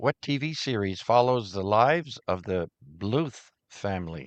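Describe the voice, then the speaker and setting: A man's fairly low voice in a French Canadian accent, fairly slow, with very wide pitch swings and a dry, close sound with no echo. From Ottawa-Gatineau Valley, Canada. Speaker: amateur radio net controller. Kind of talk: radio net trivia hosting. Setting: amateur radio broadcast with YouTube stream.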